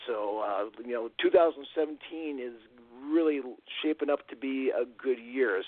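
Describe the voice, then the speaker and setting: Fairly even intonation in a man's voice of medium pitch. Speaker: caller to radio show. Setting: phone.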